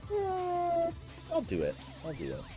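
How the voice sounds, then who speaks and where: Music plays in the background as a man speaks. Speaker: streamer. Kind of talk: casual live-stream talk while gaming.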